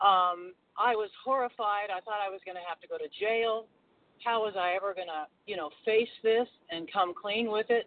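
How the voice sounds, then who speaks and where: With an American accent, a woman uses a plain, everyday voice at a medium pitch, showing ordinary pitch variation and big swings in loudness at a moderate pace. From North Carolina. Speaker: twelve-step meeting member. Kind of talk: sharing in a support group.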